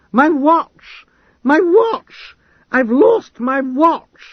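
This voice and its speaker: A put-on character voice bellows loudly at a high pitch. The pace is very slow. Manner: bellowing, loud, agitated.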